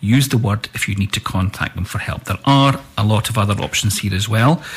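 A man speaks in a medium pitch that is somewhat breathy, with ordinary pitch variation.

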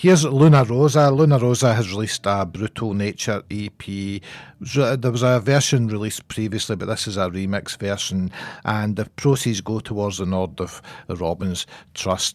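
A man with a Scottish accent speaks at a moderate pace in an upbeat tone, his fairly low pitch showing ordinary variation. The recording is very clean, with a silent background. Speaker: radio host. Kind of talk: local radio DJ patter: announcing tracks, plugging gigs and launches, introducing bands. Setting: studio. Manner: brisk, chatty, upbeat, matter-of-fact, naming artists and dates, with occasional laughs.

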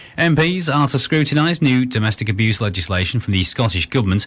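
Very fast, somewhat breathy male delivery at medium pitch, with lively intonation. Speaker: radio newsreader. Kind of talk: scripted radio news bulletin. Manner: formal, brisk, neutral.

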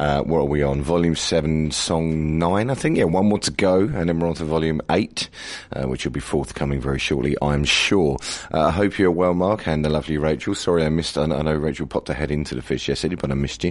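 A man speaks very fast in a very deep, low voice with ordinary pitch variation over noticeable background noise. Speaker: radio host. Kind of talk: radio DJ links. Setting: radio studio. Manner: casual.

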